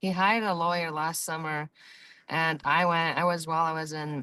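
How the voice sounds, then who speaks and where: A woman talks at a moderate pace with a very deep, low pitch and fairly even intonation. Her tone is bright and sharp, and the background is quiet. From Mongolia. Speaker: nurse, party in a court case. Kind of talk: courtroom testimony. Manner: halting, with fillers.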